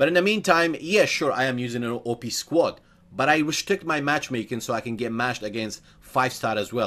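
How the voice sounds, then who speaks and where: A man's medium-pitched voice with very wide pitch swings, moving at a fairly quick pace. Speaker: gaming youtuber and streamer. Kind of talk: gaming tutorial commentary. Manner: fast.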